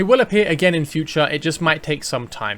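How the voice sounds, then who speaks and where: A man's fairly high-pitched voice. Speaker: gaming content creator. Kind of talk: game guide commentary. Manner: fast.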